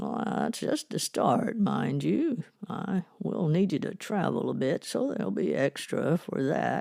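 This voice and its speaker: In a put-on character voice, a man speaks gruffly at a high pitch and a fairly slow pace with hardly any pauses. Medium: audio drama. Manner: firm, commanding.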